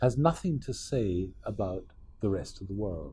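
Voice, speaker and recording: Audible room echo surrounds this man. He talks at a fairly slow pace. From Scotland. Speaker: professor. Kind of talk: lecture.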